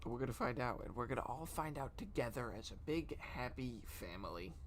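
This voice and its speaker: In a room with audible echo, a soft-spoken man talks at a moderate pace with lively intonation and vocal fry. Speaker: streamer. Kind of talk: casual chat. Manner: halting.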